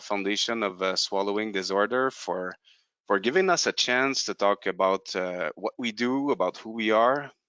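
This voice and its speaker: Here a man speaks with a strong French Canadian accent. His pitch is fairly low and his pace moderate. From Quebec, Canada. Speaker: company representative presenting a product. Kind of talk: webinar presentation. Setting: online webinar. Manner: halting, many fillers and repetitions.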